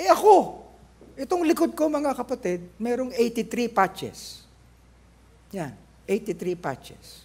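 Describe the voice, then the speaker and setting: Very slowly, a man speaks at an extremely high pitch with lively intonation. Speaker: pastor. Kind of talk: sermon. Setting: church.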